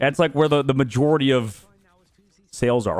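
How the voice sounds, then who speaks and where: A man at a medium pitch, animated in tone and fairly quick, with vocal fry. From Arizona, US. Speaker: streamer. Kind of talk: casual chat.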